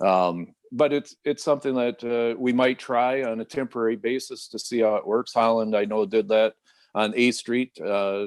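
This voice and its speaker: A man with an American accent has a plain, everyday voice at a moderate pace with ordinary pitch variation. The sound is dry and close with no echo, and the background is quiet. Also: medium pitch for a man. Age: 60s. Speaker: city mayor. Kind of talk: radio interview. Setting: video call.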